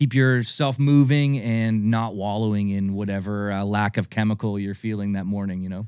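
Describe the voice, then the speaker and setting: A man's plain, everyday voice with a Canadian accent, fairly low in pitch, moderately paced with hardly any pauses and fairly even intonation, on a very clean recording with a silent background. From Ontario, Canada (Niagara Falls). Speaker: country singer. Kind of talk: casual interview chat.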